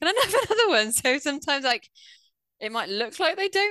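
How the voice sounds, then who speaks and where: Fairly quick delivery with a British accent, a bright, sharp tone and very wide pitch swings. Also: woman. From UK. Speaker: former teacher, online reading tutor. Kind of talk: interview.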